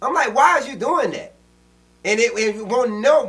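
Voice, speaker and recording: Amid noticeable background noise, a man with an extremely high pitch speaks in a raised, projected voice with a passionate tone. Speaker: podcast co-host. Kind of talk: casual political discussion. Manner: loud, passionate.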